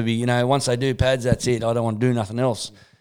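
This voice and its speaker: A man with an Australian accent talks very fast at a medium pitch. The recording is very clean, with a silent background. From Australia (Sydney, Newcastle). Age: 40s. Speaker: MMA and boxing coach. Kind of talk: casual chat.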